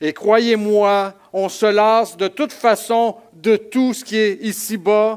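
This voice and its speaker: With a high pitch for a man, he speaks very slowly in a monotone, flat delivery. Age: 60s. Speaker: pastor. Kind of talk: sermon. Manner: hesitant, many repetitions.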